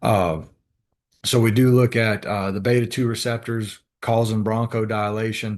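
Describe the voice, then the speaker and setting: A man's monotone, flat intonation runs over a quiet background. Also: medium pitch for a man. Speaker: respiratory therapy instructor. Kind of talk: lecture. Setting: video call. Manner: fast; halting.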